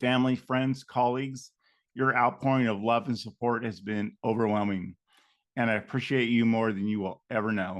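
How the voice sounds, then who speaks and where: A man of medium pitch at a moderate pace, with fairly even intonation and a quiet background. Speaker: podcast host, middle school teacher and coach. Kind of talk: podcast outro and interview. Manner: halting, effortful speech.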